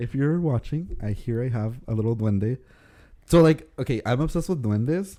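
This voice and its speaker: Here a man talks with a Spanish accent at a moderate pace, his pitch medium. His tone is dark and mellow, and his intonation is lively. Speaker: podcast co-host. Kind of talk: casual chat.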